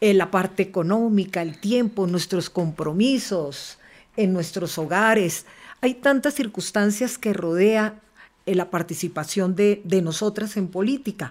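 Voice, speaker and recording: At a fairly slow pace, a woman talks at a medium pitch with ordinary pitch variation in an ordinary speaking voice. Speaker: politician, congresswoman. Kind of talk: panel conversation.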